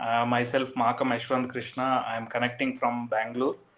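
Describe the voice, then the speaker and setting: Flat and monotone in intonation, the delivery holds a moderate tempo. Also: man. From South India, Karnataka. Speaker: architecture firm executive. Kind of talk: interview. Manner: halting.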